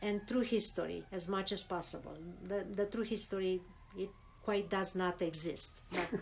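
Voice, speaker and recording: Someone speaks at a moderate pace with a Romanian accent. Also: woman. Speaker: immigrant interviewee. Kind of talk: interview. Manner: halting, many repetitions.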